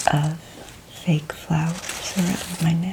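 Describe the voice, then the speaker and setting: A woman with a fairly low pitch speaks at a very slow pace in a monotone, flat intonation. Noticeable background noise runs underneath. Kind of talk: ASMR ramble to camera. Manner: soft-spoken.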